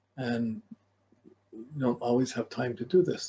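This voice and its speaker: Here is a man with a medium pitch. His voice is somewhat breathy. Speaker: astrology teacher. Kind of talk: lecture. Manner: fast.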